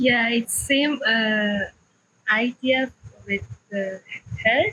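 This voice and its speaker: A woman with a non-native accent, very slow pace and fairly even intonation. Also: fairly high pitch for a woman. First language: not English. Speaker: student. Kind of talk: classroom question. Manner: halting.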